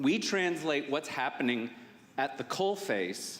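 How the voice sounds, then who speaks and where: Audible room echo surrounds a man's voice. His pitch swings very widely. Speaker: safety conference speaker. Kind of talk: conference presentation. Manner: fast; casual, filler-heavy.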